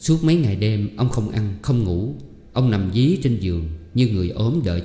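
The intonation stays lively. The delivery is plain reading aloud.

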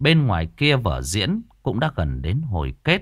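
This is reading aloud in a natural voice. The delivery stays natural throughout.

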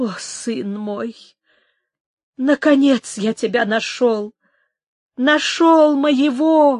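Using a put-on character voice, a woman speaks at a very slow pace with high pitch, ordinary pitch variation and a slightly mellow tone, in a dry, close sound with no echo.

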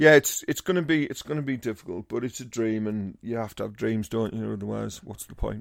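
A man with a Teesside accent at a medium pitch, fairly quick with hardly any pauses and big swings in loudness. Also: ordinary pitch variation. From Teesside, northern England. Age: 50s. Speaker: comedian. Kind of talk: casual chat.

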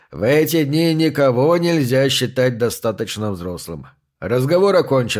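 Someone is reading aloud in a natural voice, and the background is quiet.

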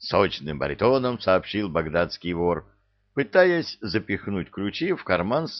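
A natural read-aloud voice over a quiet background

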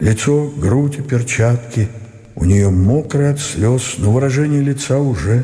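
A natural reading voice and its ordinary pitch variation

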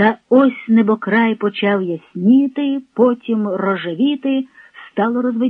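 The recording features a natural reading voice with ordinary pitch variation.

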